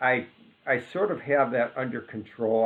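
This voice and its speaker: The speaker is a man talking at a moderate pace. His pitch variation is ordinary. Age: 60s. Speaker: IT professional. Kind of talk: personal vlog monologue. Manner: halting, many fillers.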